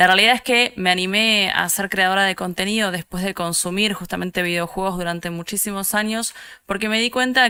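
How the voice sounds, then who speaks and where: In an Argentine accent, the speaker has a bright, sharp tone, fairly even intonation and a moderate pace. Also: woman. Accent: Rioplatense Argentine Spanish. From Argentina, Buenos Aires. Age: 30s. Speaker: esports producer and content creator. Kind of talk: conference talk. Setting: online event.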